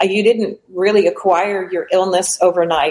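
At a moderate pace, a woman talks in a normal speaking voice that sits fairly low in pitch. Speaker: retired postal worker and healer. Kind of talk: testimony. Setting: video call from outdoor balcony.

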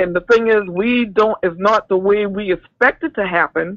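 A woman speaks at medium pitch with an American accent and lively intonation. The sound is dry and close, with no echo. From South Carolina. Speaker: caller. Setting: phone call. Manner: halting.

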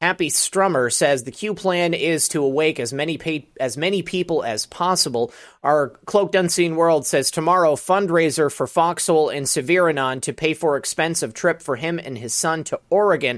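The pitch varies in an ordinary way. There are hardly any pauses. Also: man, fairly high pitch for a man, moderate pace. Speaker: livestream talk show host. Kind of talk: casual livestream chat with callers. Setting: home studio livestream. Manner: casual, energetic.

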